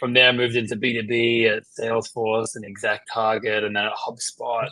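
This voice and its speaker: A man with an Australian accent talks at a medium pitch with a bright, sharp tone. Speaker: marketing executive. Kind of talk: interview. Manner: casual, filler-heavy.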